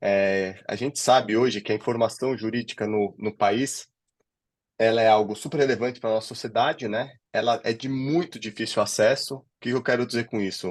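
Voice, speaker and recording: Speaking with a São Paulo accent over a quiet background, a man keeps a medium pitch, fairly even intonation and a moderate pace. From São Paulo, Brazil. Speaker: legal director of a legal tech company. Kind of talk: interview conversation.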